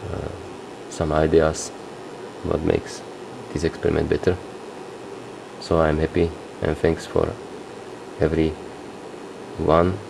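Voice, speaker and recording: Through noticeable background noise, a man with a non-native accent speaks in a very deep, low pitch at a fairly slow pace with monotone, flat intonation. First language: not English. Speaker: hobbyist experimenter. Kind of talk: tutorial. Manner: halting.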